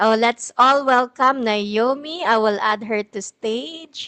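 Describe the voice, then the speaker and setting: Very slowly, a woman speaks in a high voice with a bright, sharp tone. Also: dry, close sound with no echo. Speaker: live stream host. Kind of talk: live interview. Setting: live stream.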